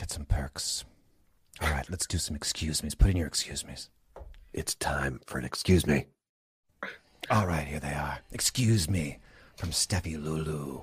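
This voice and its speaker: A man with a very deep, low voice and vocal fry speaks at a moderate pace with ordinary pitch variation, big swings in loudness, and long, frequent pauses. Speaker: comedian doing impressions. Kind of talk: comedy sketch, in character.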